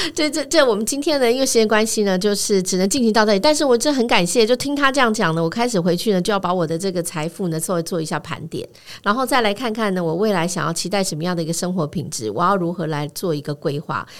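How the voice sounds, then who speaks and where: Speaking at a very fast pace with hardly any pauses, a woman uses a medium pitch. Her voice moves in very wide pitch swings. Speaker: radio host. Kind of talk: interview. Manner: halting.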